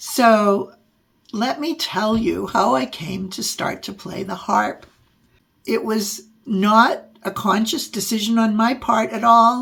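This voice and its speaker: A woman speaks very slowly with lively intonation and a fairly high pitch. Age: 70s. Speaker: podcast host and adult harp learner. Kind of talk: personal storytelling monologue. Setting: podcast/video recording.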